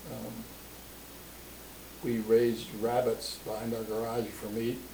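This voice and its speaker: A man with a Midwestern American accent at a very slow pace, amid audible room echo. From Springfield, Ohio. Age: 80s+. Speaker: family elder interviewed about his life. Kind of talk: oral history interview. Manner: halting, with many fillers.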